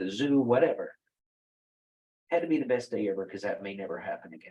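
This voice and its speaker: A man with a Texas accent talks at a medium pitch, his intonation lively. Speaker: wellness company founder. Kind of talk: interview conversation.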